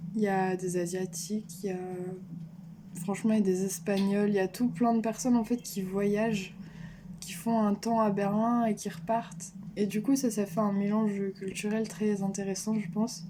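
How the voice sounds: A woman speaks at a moderate pace in a dark, mellow tone. Her pitch moves very little. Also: medium pitch for a woman.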